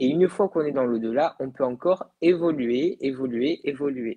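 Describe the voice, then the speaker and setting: Against a quiet background, a man with a fairly high pitch speaks at a fairly slow pace with ordinary pitch variation. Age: 20s. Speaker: medium; guest. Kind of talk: interview about the afterlife. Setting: live video broadcast. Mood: calm, reflective. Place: home room. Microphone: earbuds.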